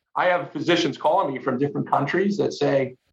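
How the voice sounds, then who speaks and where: A man with an American accent, vocal fry and ordinary pitch variation. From United States. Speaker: company founder and sales executive. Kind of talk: interview conversation. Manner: halting, many repeated words.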